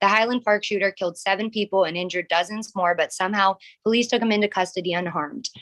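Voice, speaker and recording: A woman with an American accent speaks at medium pitch and a very fast pace, her intonation fairly even. The sound is dry and close, with no echo. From US, rural small town. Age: 20s. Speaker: public commenter. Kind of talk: public comment at council meeting.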